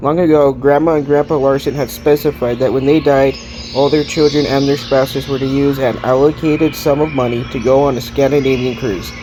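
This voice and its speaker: The delivery is fairly quick with monotone, flat intonation. Music plays in the background. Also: man. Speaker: audiobook narrator. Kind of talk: read story.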